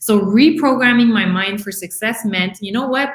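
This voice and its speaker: A woman speaks at a moderate pace. Her tone is animated. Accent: strong French Canadian. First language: French. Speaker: life coach. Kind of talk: live podcast talk. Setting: live stream video.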